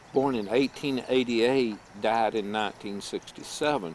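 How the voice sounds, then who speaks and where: With an American accent and lively intonation, a man uses a plain, everyday voice at medium pitch. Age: 60s. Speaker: family video maker. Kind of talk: casual chat.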